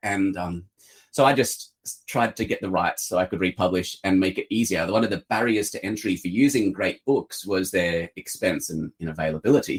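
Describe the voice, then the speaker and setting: Moderately paced, a man's fairly low voice shows ordinary pitch variation in a dry, close sound with no echo. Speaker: publisher. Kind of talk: interview. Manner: hesitant, many fillers.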